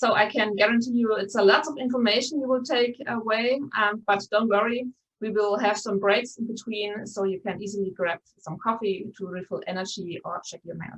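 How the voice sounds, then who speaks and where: A woman in a Bavarian German accent at a fairly high pitch, moderate pace, ordinary pitch variation, and big swings in loudness. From Bavaria, Germany. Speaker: conference host, journalist. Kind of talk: event moderation, welcome address. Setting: live-streamed online conference. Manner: many filler words, um and uh.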